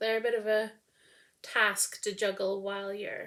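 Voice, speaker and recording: At a moderate pace and medium pitch, a woman mumbles loudly in a monotone, flat delivery on a very clean recording with a silent background. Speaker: knitting podcaster. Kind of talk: casual chat. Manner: tends to mumble; projecting loudly. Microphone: no microphone, built-in mic.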